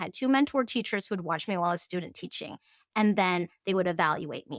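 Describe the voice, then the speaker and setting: In a Cantonese accent, a woman speaks with lively intonation in a very clean, dry, close recording with no echo and a silent background. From Fairbanks, Alaska. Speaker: tea farm founder. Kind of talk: interview conversation.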